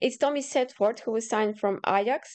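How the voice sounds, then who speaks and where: A woman with a Croatian accent, fairly high in pitch, with ordinary pitch variation and a moderate pace. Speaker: football pundit. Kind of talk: scripted review reading from notes. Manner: halting.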